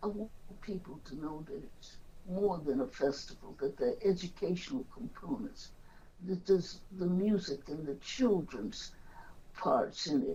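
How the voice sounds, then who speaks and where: A woman speaks at a fairly slow pace in a medium pitch, her somewhat breathy voice dark and mellow in tone, with lively intonation and big swings in loudness. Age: old. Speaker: activist. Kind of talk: interview answer.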